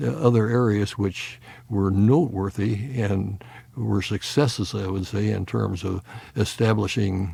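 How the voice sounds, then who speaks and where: A man speaks at a fairly slow pace with a dark, mellow tone, somewhat breathy and fairly low in pitch. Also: ordinary pitch variation. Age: 80s+. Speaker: retired physicist and former university president. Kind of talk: interview. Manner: halting, many fillers.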